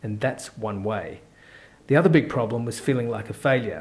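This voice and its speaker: A somewhat breathy voice with an Australian accent. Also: man. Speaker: course presenter. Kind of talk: sales pitch.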